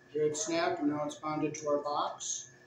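A man speaks fairly slowly with ordinary pitch variation. Both room echo and background noise are noticeable. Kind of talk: tutorial. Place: hall. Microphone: camera far.

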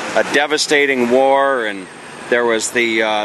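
A man speaks at a moderate pace with ordinary pitch variation, the sound dry with no echo and noticeable background noise behind him. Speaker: travel vlogger. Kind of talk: casual travel commentary. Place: street. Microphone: phone near.

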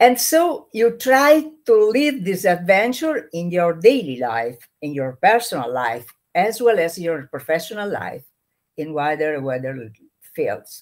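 Against a quiet background, a woman speaks fairly slowly, her pitch swinging very widely and her loudness rising and falling sharply. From Italy. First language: Italian. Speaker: trainer and activist; trainer. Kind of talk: interview. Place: home room.

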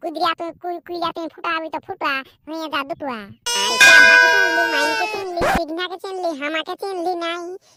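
A cartoonish character voice at a moderate pace. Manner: brash, crude.

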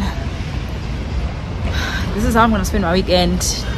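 The woman talks at a moderate pace. Noticeable background noise can be heard. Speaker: vlogger. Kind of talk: casual vlog chat. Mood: excited, surprised, laughing. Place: hall. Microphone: phone near.

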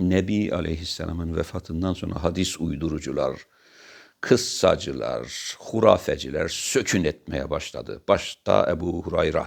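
This man talks fairly slowly, and the recording is very clean with a silent background. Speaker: religious commentator. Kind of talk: monologue talk. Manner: animated; halting.

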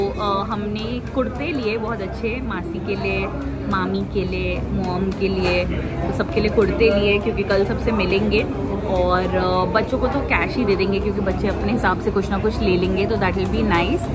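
Loud music plays behind a woman who talks at a fairly slow pace. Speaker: vlogger. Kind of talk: casual vlog chat.

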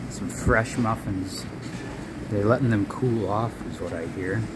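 A man goes along at a fairly slow pace while loud background noise plays. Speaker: visiting local guide. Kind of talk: casual vlog tour narration. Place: shop. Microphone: phone near.

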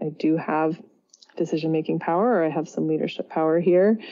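At a fairly quick pace, a woman talks with a Californian accent. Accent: General American, Californian. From US West Coast, San Francisco Bay Area. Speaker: psychotherapist and yoga teacher. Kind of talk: interview.

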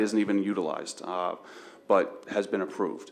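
Moving at a moderate pace, a man with an ordinary speaking voice keeps a fairly even intonation. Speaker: applicant's representative at township board. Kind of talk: public hearing testimony. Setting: township board meeting.

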